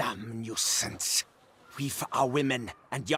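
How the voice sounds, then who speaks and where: Using a put-on character voice, a man speaks at medium pitch and a fairly slow pace, his intonation fairly even. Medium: video game. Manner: loud, belligerent.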